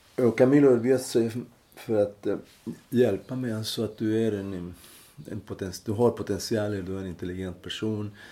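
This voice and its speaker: This man's fairly low, dark and mellow voice moves at a moderate pace with fairly even intonation. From Chile. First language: Spanish (speaking Swedish). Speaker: former political refugee. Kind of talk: interview. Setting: at home. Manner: halting.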